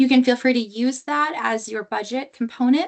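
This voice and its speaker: This woman's voice has a high pitch. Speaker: state grant coordinator. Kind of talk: informational webinar presentation. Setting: online webinar.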